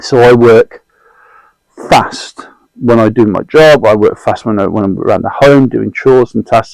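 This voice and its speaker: Speaking with a British accent, a man keeps a medium pitch and fairly even intonation. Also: dry, close sound with no echo. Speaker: mentor and guest sharing anxiety experience. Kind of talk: casual interview conversation. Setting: in-person recording, notebooks on the table. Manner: fast.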